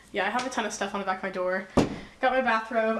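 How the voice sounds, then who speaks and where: The intonation is fairly even, with noticeable background noise. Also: woman. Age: young. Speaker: college student. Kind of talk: casual talk to camera.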